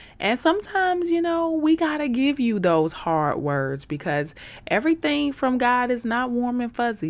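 Her pitch swinging very widely, a woman with an American accent speaks fairly slowly on a very clean recording with a silent background. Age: 30s. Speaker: faith podcast host. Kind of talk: inspirational solo podcast talk. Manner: animated.

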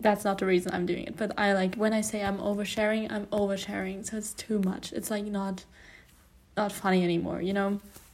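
Fairly quick, monotone speech with flat intonation, in a non-native accent. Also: woman, medium pitch for a woman. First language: not English. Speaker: podcast host. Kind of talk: casual monologue. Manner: hesitant, many fillers.

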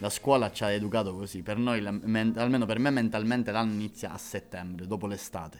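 A man's normal speaking voice, fairly low in pitch, at a fairly quick pace with hardly any pauses and fairly even intonation. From Sicily, Catania. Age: 20s. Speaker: actor and comedian. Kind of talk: casual chat.

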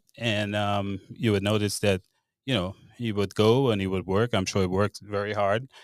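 In a Grenadian accent, a man speaks at a moderate pace with monotone, flat intonation. The recording is very clean, with a silent background and a dry, close sound with no echo. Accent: Grenadian Caribbean English. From Grenada. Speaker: bartender and home remodeler. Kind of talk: interview.

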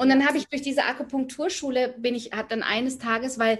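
The background stays quiet as a woman talks. Her pitch shows ordinary variation. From Germany, near Frankfurt. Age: 40s. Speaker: spiritual coach, former banker. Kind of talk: casual interview. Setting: video call. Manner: halting, many fillers.

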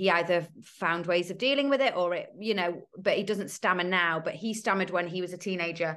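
A woman's medium-pitched voice in a British accent, with ordinary pitch variation and a quiet background. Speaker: author. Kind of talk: casual interview chat. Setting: video call.

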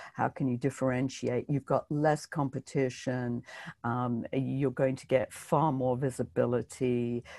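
In a very clean recording with a silent background and a dry, close sound with no echo, a woman with a very deep, low, dark and mellow voice speaks in a flat monotone at a fairly slow pace. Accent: British. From Britain. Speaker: book marketing coach. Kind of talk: interview.

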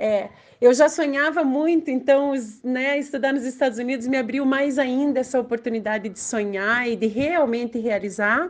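In a quiet background, a woman with a high pitch talks at a moderate pace with ordinary pitch variation. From Brazil, Curitiba (Paraná). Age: 40s. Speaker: education advisor. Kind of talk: interview.

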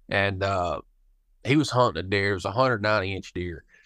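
A man speaks with a Kentucky accent and ordinary pitch variation, his voice dry and close with no echo over a quiet background. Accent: Kentucky Southern US. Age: 20s. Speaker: hunting outfitter and guide. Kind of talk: casual interview chat.

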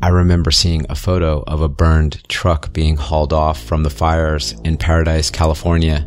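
Over music in the background, a man speaks in a very deep, low pitch with fairly even intonation. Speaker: horror story narrator. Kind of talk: ghost story telling, first-person scary narration. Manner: hushed, eerie, slow and suspenseful; earnest, conspiratorial, ominous.

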